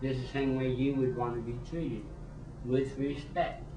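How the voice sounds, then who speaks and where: The speech is monotone and flat at a fairly slow pace, with noticeable background noise and audible room echo. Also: man. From New Mexico. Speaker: former prison inmate. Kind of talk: personal testimony interview. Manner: halting, repeats words.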